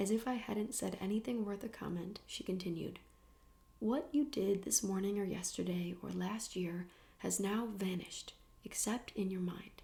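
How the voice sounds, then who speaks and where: A woman with vocal fry speaks in a calm, dark, mellow tone at a medium pitch, her pitch varying in an ordinary way. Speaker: ASMR creator. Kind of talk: soft-spoken audiobook-style reading. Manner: soft-spoken, calm, slow.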